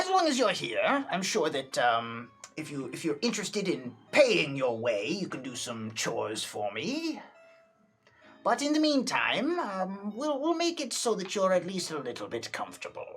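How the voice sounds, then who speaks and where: At a middle pitch, a put-on character voice delivers its lines at a moderate pace. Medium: actual play. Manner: rambling, hesitant, casual.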